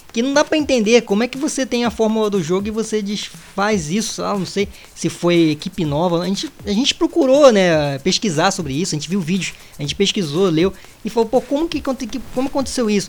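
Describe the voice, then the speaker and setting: Over noticeable background noise, a man speaks at a fairly quick pace in a high pitch with very wide pitch swings. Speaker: gaming podcast co-host. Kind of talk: casual chat.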